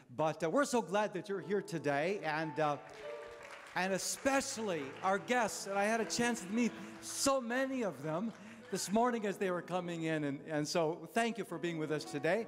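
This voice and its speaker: Faint background music can be heard. A man talks over it at a moderate speed. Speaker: pastor. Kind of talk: church announcements. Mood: warm, friendly. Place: church. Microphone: handheld.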